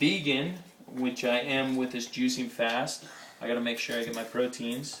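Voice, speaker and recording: Over noticeable background noise, a man speaks at a medium pitch and a fairly slow pace. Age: 20s. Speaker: high school football coach. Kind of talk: casual talk to camera. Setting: home kitchen.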